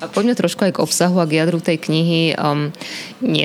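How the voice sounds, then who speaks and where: Over noticeable background noise, a woman talks at a fairly quick pace in a very deep, low pitch with ordinary pitch variation. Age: 40s. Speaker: radio host. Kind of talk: interview.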